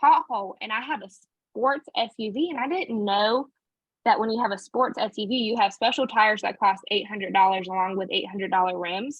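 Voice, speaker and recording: The woman's voice sits fairly high. Its pitch moves in an ordinary way. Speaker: direct sales team director. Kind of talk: team training session. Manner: fast; casual, conversational.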